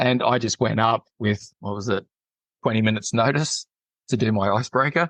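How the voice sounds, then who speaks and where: A man's medium-pitched, normal speaking voice at a fairly quick pace, with ordinary pitch variation. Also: dry, close sound with no echo. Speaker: public speaking club member. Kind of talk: interview.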